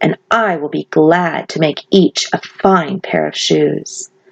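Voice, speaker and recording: Putting on a growling character voice, a woman speaks at a fairly slow pace with a very deep, low pitch. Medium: read story.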